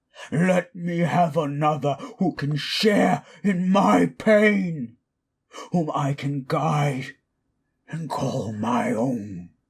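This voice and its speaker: A man puts on a character voice, fairly high in pitch, and speaks at a very slow pace. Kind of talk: audio drama roleplay. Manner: angry, shouting.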